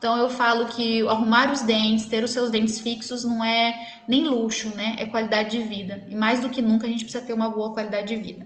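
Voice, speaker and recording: Fairly quick, monotone, flat speech with hardly any pauses against noticeable background noise. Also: woman, fairly high pitch for a woman. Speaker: dentist. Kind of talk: live stream Q&A talk. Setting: live stream.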